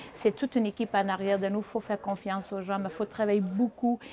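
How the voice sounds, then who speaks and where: The speaker is a woman with a Portuguese accent. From Portugal, small village. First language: Portuguese (speaking French). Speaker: chef and restaurateur. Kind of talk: interview. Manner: halting with repetitions.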